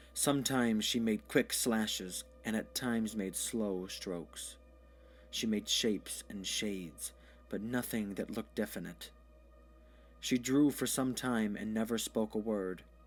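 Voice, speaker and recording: Music plays behind a man whose fairly low voice shows ordinary pitch variation. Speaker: storyteller. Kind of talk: audio short story narration.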